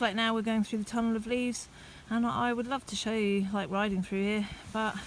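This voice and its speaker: Speaking at a moderate pace in an English accent, a woman has a fairly high pitch, fairly even intonation and a somewhat breathy voice. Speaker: cycling vlogger. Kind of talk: vlog monologue while riding. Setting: outdoors on a bike.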